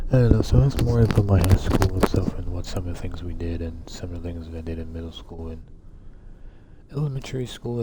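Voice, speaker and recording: Delivered at a fairly quick pace, the speech comes with noticeable background noise. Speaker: gaming streamer. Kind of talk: casual chat. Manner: quiet; halting. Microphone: voice too quiet under game audio.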